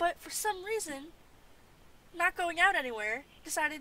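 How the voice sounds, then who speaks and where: A woman's raised, projected voice, bright and sharp in tone, with lively intonation at a fairly slow pace. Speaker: livestreamer doodling and chatting. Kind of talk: casual chat. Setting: home livestream. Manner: halting.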